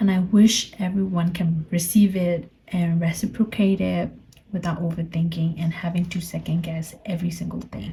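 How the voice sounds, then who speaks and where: A woman with a Burmese accent, a fairly low, somewhat breathy voice, a dark, mellow tone, fairly even intonation and a fairly slow pace. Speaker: podcaster. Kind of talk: personal reflective monologue. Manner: halting.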